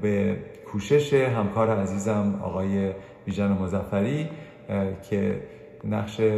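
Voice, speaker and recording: A man's fairly low voice at a very slow pace, with long, frequent pauses, ordinary pitch variation, noticeable background noise and audible room echo. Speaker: radio host; anesthesiologist presenting medical news. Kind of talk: weekly health news program. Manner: varied intonation.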